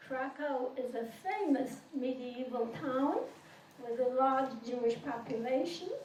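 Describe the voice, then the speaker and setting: A woman's high-pitched voice with a non-native accent, at a fairly slow pace, amid noticeable background noise and audible room echo. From Poland. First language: not English. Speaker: Holocaust survivor. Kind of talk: testimony.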